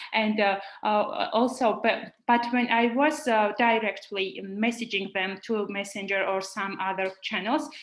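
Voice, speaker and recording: With a Georgian accent and a fairly high pitch, a woman speaks with hardly any pauses. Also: ordinary pitch variation, fairly slow pace. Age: young. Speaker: young researcher. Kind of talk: online roundtable discussion. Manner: halting.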